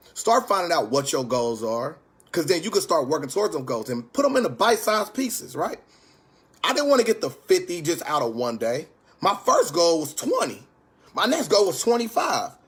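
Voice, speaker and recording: The pitch moves in very wide swings at a fairly quick pace. Noticeable background noise is present. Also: man. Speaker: stock investing YouTuber. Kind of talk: casual livestream tutorial. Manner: fast.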